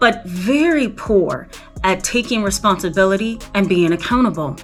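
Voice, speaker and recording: Moderate-paced speech over music in the background. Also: woman, medium pitch for a woman, lively intonation. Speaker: licensed professional counselor, therapist. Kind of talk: educational talk to camera. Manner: conversational, casual.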